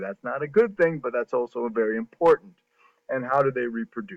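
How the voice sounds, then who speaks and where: Here is a man with an unremarkable speaking voice. His pitch is medium and his pace is moderate. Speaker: high school biology teacher. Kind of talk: recorded lecture screencast.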